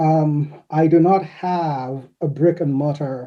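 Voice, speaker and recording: A man with a fairly high pitch and a dark, mellow tone speaks very slowly, with ordinary pitch variation. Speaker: anthology editor, panelist. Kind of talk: panel discussion.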